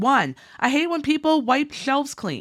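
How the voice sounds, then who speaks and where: The speaker is a woman with an American accent. She talks at a moderate speed. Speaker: couponing YouTuber. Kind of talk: tutorial.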